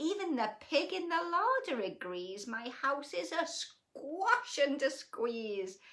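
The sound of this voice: A woman performs a put-on character voice, high-pitched and fairly bright. She speaks slowly, with big swings in pitch.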